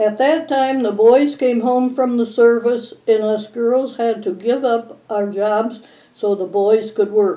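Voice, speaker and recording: A woman at a very slow pace, fairly high in pitch with ordinary pitch variation and an Upper Midwest accent. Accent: Upper Midwest American. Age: 90s. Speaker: local elder sharing memories. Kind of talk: oral history recollection.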